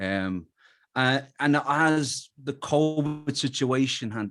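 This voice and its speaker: Music plays in the background. A man talks with an Irish accent. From Ireland, Dublin. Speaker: musician. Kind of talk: interview.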